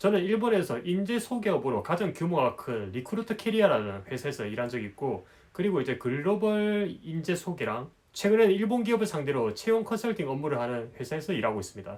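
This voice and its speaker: This man talks at a fairly quick pace in a high voice, his pitch swinging very widely. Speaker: business consultant and YouTuber. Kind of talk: advice monologue to camera. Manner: casual, with many filler words.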